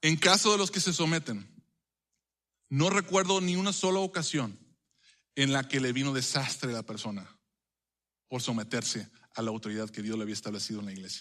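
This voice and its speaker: A man with a bright, sharp tone and a medium pitch talks at a fairly quick pace with very wide pitch swings. He takes long, frequent pauses against a quiet background. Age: 30s. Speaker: pastor. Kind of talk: sermon. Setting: church. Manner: halting, many fillers.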